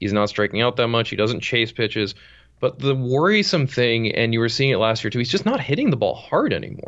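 A man with an American accent talks in an ordinary speaking voice at medium pitch and a fairly quick pace. His pitch varies in an ordinary way, and his loudness stays very even. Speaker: baseball writer. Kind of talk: casual chat.

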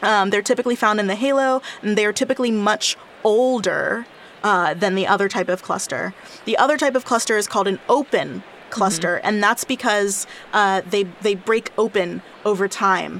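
Noticeable background noise is audible throughout. Pitch movement stays ordinary. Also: woman, fairly high pitch for a woman, moderate pace, very even loudness. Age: 20s. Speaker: astrophysicist and podcast co-host. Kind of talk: casual science chat.

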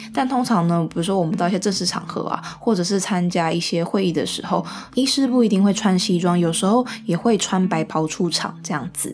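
With a Taiwanese accent, a woman talks at a fairly quick pace and ordinary pitch variation, with music in the background. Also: medium pitch for a woman. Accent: Taiwanese Mandarin. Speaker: podcast host, medical student. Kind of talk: casual solo talk. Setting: at home, also live-streamed.

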